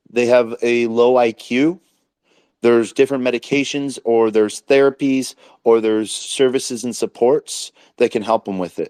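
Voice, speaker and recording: The man's dark, mellow tone sits at a medium pitch, with fairly even intonation at a moderate pace in a dry, close sound with no echo. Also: very clean recording, silent background. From Alaska. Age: 40s. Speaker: crypto podcast host, former social worker. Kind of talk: casual chat. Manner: halting.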